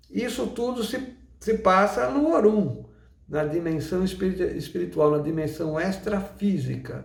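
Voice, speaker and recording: Lively intonation from a man with a high pitch, set against audible room echo. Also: fairly slow pace. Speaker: umbanda teacher. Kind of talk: lecture.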